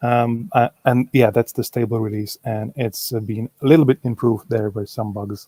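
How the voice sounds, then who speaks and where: This voice has a Czech accent and a dark, mellow tone, with fairly even intonation at a moderate pace. There are hardly any pauses, and the sound is dry and close with no echo. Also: man, medium pitch for a man. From Czech Republic. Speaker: software developer. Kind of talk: conference Q&A.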